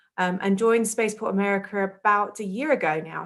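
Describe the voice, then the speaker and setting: A woman with an English accent talks at a fairly quick pace with fairly even intonation. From southern England, outside London. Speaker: public relations coordinator. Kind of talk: career interview talk. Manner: hesitant, many ums.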